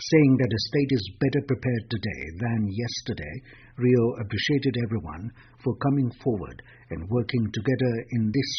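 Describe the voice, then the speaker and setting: A man with a medium pitch and somewhat breathy voice speaks at a moderate pace with ordinary pitch variation. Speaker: radio newsreader. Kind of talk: radio news bulletin.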